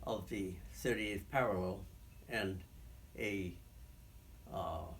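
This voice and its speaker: The man's voice is somewhat breathy, and his pitch varies in an ordinary way. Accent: American. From Franklin, Massachusetts. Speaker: shoe store owner, Korean War veteran. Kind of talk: oral history interview answer.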